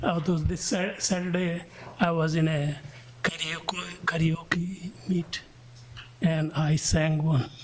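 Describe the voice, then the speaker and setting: Speech comes at a very slow pace with long, frequent pauses. Noticeable background noise runs underneath. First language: not English. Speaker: school board member. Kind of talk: casual chat. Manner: halting.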